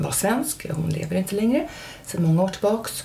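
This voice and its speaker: Audible room echo and noticeable background noise fill the recording. Through them, a woman talks. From Germany and Stockholm, international upbringing. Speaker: nurse and therapist. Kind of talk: casual chat. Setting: at host's home.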